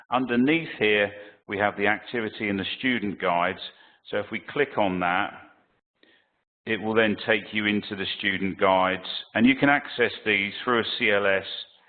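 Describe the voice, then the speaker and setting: A man's fairly low-pitched voice moves at a moderate pace, with ordinary pitch variation. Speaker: IT training consultant. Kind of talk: webinar Q&A with screen demo. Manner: halting, many fillers.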